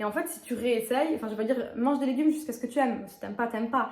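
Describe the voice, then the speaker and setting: Ordinary pitch variation shapes very fast speech. Noticeable noise sits in the background. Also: woman. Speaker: YouTuber, lifestyle and fitness vlogger. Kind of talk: casual vlog monologue. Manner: animated.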